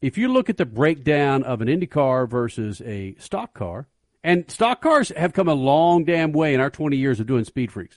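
A man with an ordinary speaking voice talks at a moderate pace in a fairly high pitch with lively intonation, the sound dry and close with no echo against a quiet background. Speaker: radio host. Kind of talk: live radio show hosting. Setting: studio.

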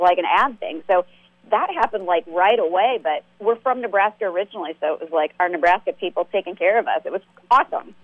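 Speaking at a fairly quick pace, a woman with a normal speaking voice uses a medium pitch and ordinary pitch variation. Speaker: comedian and web series creator. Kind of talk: casual chat.

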